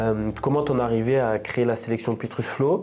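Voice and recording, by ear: Speaking at a fairly quick pace, a man uses a medium pitch, fairly even intonation and a dark, mellow tone.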